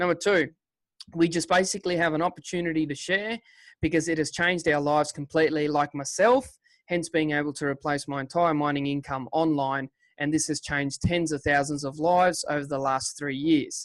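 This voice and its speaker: Over a quiet background, a man talks at a fairly quick pace. He has a fairly high pitch and an Australian accent. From Western Australia. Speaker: online business presenter, former miner. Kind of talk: webinar sales presentation. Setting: video call webinar with screen share. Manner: casual, energetic.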